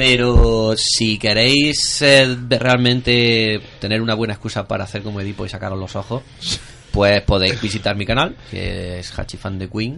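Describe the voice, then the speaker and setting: Loudness swings widely in this fairly slow, fairly evenly intoned speech, heard against noticeable background noise. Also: man, medium pitch for a man. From Spain, Andalusia (Jaén province). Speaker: YouTuber and amateur filmmaker. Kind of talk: casual chat. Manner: halting.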